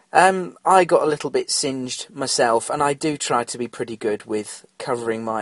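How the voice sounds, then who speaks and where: His pitch rises and falls in an ordinary way. The man keeps to a moderate pace. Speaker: podcast host. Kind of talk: casual solo podcast talk. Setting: home studio. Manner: rambling, hesitant with fillers.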